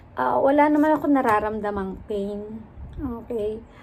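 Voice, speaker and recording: Her voice fairly high in pitch, a woman talks at a very slow pace. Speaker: vlogger; rehab therapist. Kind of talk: casual vlog story time.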